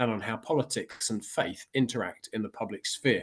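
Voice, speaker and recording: In a normal speaking voice, a man keeps a moderate pace and ordinary pitch variation against a quiet background. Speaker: Baptist minister, podcast host. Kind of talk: podcast introduction.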